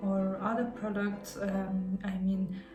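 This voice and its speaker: Music plays in the background as a woman with a non-native accent speaks at a very slow pace. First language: not English. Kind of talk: casual talk to camera. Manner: hesitant, many fillers and repetitions.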